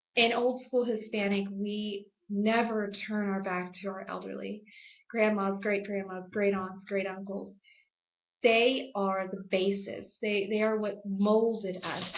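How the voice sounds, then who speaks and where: With flat, monotone intonation, a woman speaks at a fairly slow pace and medium pitch, her voice carrying an audible room echo. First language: Spanish. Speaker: student. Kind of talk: class speech.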